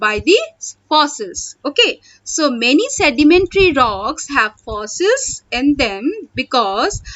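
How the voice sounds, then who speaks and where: This voice is loud, with very wide pitch swings. It moves at a very slow pace. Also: woman. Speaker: school teacher. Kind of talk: online class lecture. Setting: online video class.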